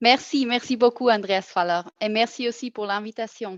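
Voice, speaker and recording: A woman with a non-native accent speaks fairly slowly at a fairly high pitch with ordinary pitch variation, in a dry, close sound with no echo. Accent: non-native French, audible. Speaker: federal health official. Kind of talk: webinar presentation. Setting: online webinar. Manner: halting, frequent self-corrections.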